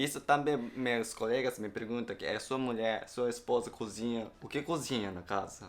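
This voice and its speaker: Moderate pace and fairly even intonation with a Japanese accent and hardly any pauses. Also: man, medium pitch for a man. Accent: Japanese-accented Portuguese, non-native. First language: Japanese (speaking Portuguese). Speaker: wife's co-host. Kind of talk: casual chat. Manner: halting.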